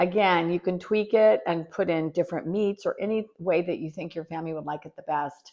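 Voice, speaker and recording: A woman's normal speaking voice, fairly low in pitch, at a moderate pace with fairly even intonation, against a quiet background. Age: 60s. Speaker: home cook and gardening channel host. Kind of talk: cooking tutorial. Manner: casual, chatty.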